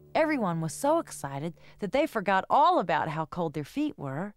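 Some reading aloud in a natural voice

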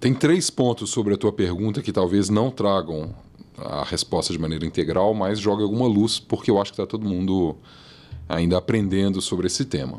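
The speaker is a man with a fairly low voice. He moves at a moderate pace with ordinary pitch variation. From Brazil, moved around (Santos, Salvador, abroad), settled in Minas Gerais; Minas Gerais, Brazil. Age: 40s. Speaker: marketing executive and professor; professor. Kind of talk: casual interview. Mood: relaxed, thoughtful. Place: studio. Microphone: studio mic.

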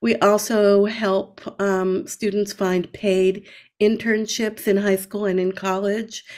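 At a very slow pace, a woman speaks in a monotone, flat way. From Central and South America. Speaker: nonprofit executive director. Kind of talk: interview. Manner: hesitant with fillers. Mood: earnest, calm.

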